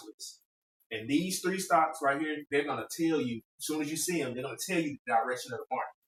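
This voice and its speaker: A man talks with a fairly high pitch and ordinary pitch variation. His is an unremarkable speaking voice. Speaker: podcast host giving investing tips. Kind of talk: casual chat.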